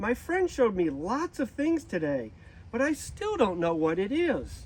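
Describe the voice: A put-on character voice at a fairly slow pace, with very wide pitch swings. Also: man, high pitch for a man.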